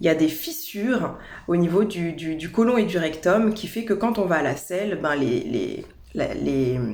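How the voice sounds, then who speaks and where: Over noticeable background noise and audible room echo, a woman with a fairly low pitch speaks at a fairly slow pace with lively intonation. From France, Paris region. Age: 30s. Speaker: holistic naturopath. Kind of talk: personal introduction video. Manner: hesitant, with fillers and repetitions.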